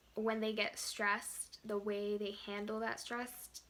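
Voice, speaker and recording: A soft-spoken woman's fairly high, bright, sharp voice, calm in tone, at a fairly slow pace. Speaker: pre-med student and physical therapy technician. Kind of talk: casual vlog talk to camera. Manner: calm, hesitant with many ums.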